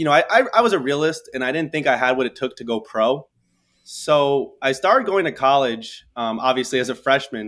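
A man with an American accent and a plain, everyday voice, fairly high in pitch, with lively intonation at a fairly quick pace. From New York, Staten Island. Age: 20s. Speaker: entrepreneur. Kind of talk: interview storytelling.

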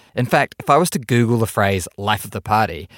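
Speaking very fast with a New Zealand accent, a man with a fairly low voice is heard in a very clean recording with a silent background and a dry, close sound with no echo. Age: 40s. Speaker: podcast host. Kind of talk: casual interview and narration.

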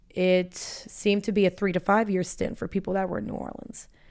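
A normal speaking voice with an American accent moves at a fairly quick pace. The recording is very clean, with a silent background. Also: woman. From Florida (Boca Raton). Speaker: business school student and blogger. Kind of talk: interview conversation.

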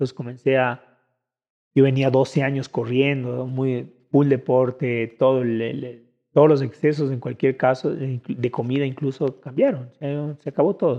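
Speaking at a fairly slow pace, a man uses an ordinary speaking voice of medium pitch with fairly even intonation. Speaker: musician and drummer. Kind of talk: casual chat interview.

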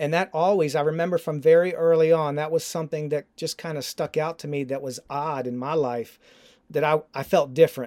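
On a very clean recording with a silent background, a man with an unremarkable speaking voice talks at a fairly quick pace, fairly high in pitch, with fairly even intonation. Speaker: ministry founder. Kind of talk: interview conversation. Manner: conversational, earnest.

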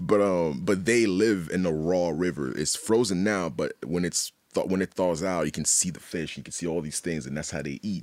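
A man with a very deep, low pitch talks at a moderate pace, hardly pausing. His pitch variation is ordinary, and the recording is very clean with a silent background. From Haiti. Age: 30s. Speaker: visual artist. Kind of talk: casual chat.

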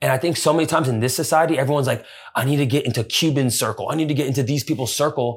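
On a very clean recording with a silent background, a man with a fairly high pitch talks at a very fast pace in an animated, somewhat breathy tone, keeping his loudness very even. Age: 20s. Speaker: runner and content creator. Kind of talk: casual chat. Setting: in person, outdoors overlooking skyline.

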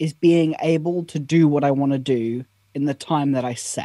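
Recorded dry and close with no echo, a man speaks with a British accent. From Britain. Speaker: productivity content creator. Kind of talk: casual interview.

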